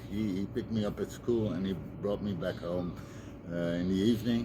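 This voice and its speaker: A man's voice is heard with audible room echo. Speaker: recovering addict sharing advice. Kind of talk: personal talk to camera, testimony. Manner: halting, many fillers.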